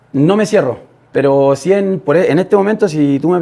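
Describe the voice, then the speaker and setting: This man speaks with a Chilean accent at a fairly quick pace. His pitch varies in an ordinary way. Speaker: podcast guest, young father. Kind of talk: interview testimony. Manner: halting, many fillers.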